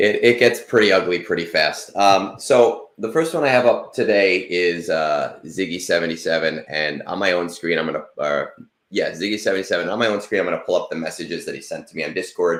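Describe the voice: A man's low voice at a fairly quick pace, with fairly bright tone and ordinary pitch variation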